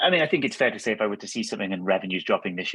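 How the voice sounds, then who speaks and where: A man with a Welsh accent is speaking. He goes at a very fast pace. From Wales. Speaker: angel investor and executive coach. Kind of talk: webinar interview answer.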